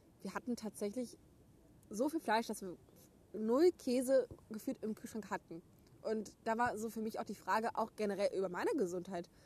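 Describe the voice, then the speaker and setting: A woman's somewhat breathy voice, moving at a moderate pace. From Germany, Gütersloh (Westphalia). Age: 20s. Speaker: podcast co-host. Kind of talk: casual chat. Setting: outdoors.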